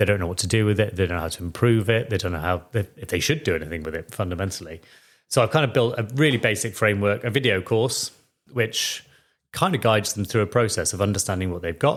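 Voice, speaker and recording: A man with a Welsh accent and a fairly low pitch talks at a very fast pace with ordinary pitch variation. The recording is very clean, with a silent background. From Wales. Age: 40s. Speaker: financial planner. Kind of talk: podcast interview. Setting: at home, kitchen.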